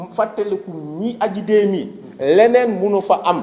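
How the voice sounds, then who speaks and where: Audible room echo and noticeable background noise surround the voice. A man speaks with a high pitch. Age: 60s. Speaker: association leader for victims' families. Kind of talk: press conference speech.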